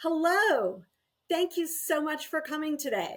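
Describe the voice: Putting on a character voice, a woman speaks in an extremely high, squeaky pitch with a warm, upbeat tone at a fairly slow pace.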